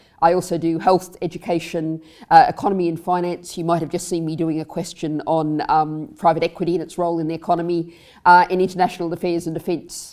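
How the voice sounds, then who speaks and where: A woman's dark, mellow voice in an Australian accent, very fast and monotone with flat intonation, on a very clean recording with a silent background. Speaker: member of the House of Lords, politician. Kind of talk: panel discussion.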